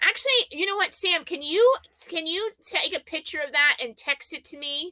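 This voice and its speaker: In a dry, close sound with no echo, a woman speaks at an extremely high pitch for a woman, her raised, projected voice bright and sharp, her tone animated and her intonation lively at a moderate pace. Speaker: YouTuber, live show co-host. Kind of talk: casual chat on a live stream. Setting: live video stream. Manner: loud.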